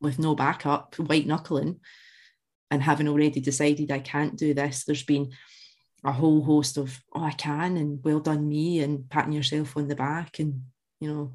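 A woman with a Scottish accent speaks at a moderate pace in a very deep, low pitch. Her intonation is monotone and flat, and the background is quiet. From Central Scotland (born in Glasgow). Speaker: alcohol freedom coach. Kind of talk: interview.

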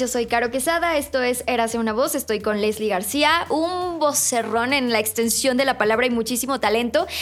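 A woman speaks at a moderate pace with a high pitch and hardly any pauses. Her loudness stays very even over noticeable background noise. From outside Mexico City. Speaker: podcast host. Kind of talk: casual interview.

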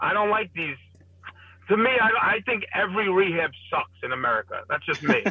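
With a Brooklyn accent, a man talks at a fairly quick pace broken by long, frequent pauses over noticeable background noise. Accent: New York (Brooklyn). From Brooklyn, New York. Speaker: addiction outreach worker. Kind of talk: casual chat.

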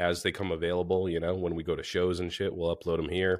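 The audio is a very clean recording, its background silent. A man talks in a very deep, low pitch. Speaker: motorcycle podcast co-host. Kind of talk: casual chat.

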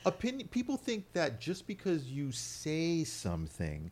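On a very clean recording with a silent background, a man speaks at a moderate pace in a somewhat breathy voice. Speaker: podcast host. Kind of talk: casual banter.

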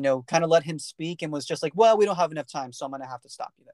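Over a quiet background, a man speaks with an American accent in a fairly high pitch. The sound is dry and close with no echo, and his pitch variation is ordinary. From US, California Central Valley. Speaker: podcast host. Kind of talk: casual chat.

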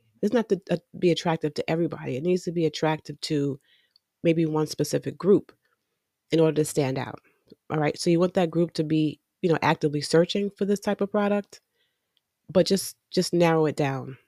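A woman with a fairly low pitch and a dark, mellow tone speaks at a fairly quick pace in a relaxed tone, with ordinary pitch variation and long, frequent pauses. The sound is dry and close with no echo, on a very clean recording with a silent background. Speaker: podcast host and attorney. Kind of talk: casual solo podcast tutorial. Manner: relaxed with frequent fillers.

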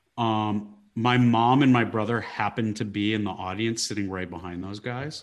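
A man speaks in an unremarkable speaking voice, fairly low in pitch, with fairly even intonation. His pace is moderate, with hardly any pauses. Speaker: stand-up comedian. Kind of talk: casual interview chat. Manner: jokey, self-deprecating.

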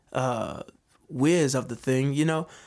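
Over a silent background on a very clean recording, a man with a Southern US accent talks with fairly even intonation. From US South, Georgia. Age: 20s. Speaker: singer-songwriter and army veteran. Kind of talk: casual interview chat.

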